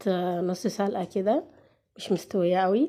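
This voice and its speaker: In a very clean recording with a silent background, a woman talks at a fairly slow pace and medium pitch, her tone dark and mellow. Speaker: cooking channel host. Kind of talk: cooking tutorial with casual chat. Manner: halting, with pauses.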